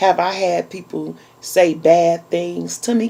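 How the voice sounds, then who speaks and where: Noticeable background noise sits under this recording. A woman speaks at a very slow pace. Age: 40s. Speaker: YouTube vlogger. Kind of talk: casual chat. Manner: animated.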